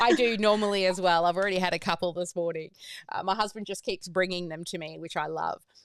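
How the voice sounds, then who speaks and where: A woman speaks at a very fast pace in a medium pitch with fairly even intonation, on a very clean recording with a silent background. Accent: Australian. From Australia. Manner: natural, rising sentence endings.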